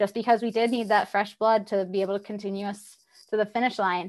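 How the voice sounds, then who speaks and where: In an American accent, a woman speaks at a fairly high pitch with monotone, flat intonation against a quiet background. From US South, Tennessee. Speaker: robotics PhD student and rover engineer. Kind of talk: interview, casual chat.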